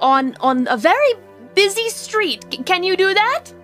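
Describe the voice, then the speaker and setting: Over clear background music, a woman performs a put-on character voice at a fairly slow pace. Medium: virtual streamer. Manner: forgetful, sweet, calls people my dear.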